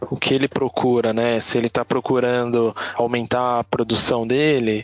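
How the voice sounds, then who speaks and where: Noticeable background noise sits behind a man speaking at a medium pitch. He keeps a moderate pace and a monotone, flat intonation. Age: 30s. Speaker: automation business specialist. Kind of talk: casual chat.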